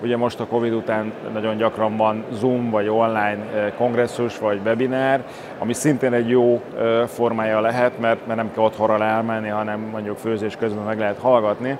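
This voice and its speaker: A man of medium pitch speaks at a moderate pace with monotone, flat intonation over noticeable background noise. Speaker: oral surgeon. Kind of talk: interview. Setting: at a congress venue. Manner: hesitant, with fillers.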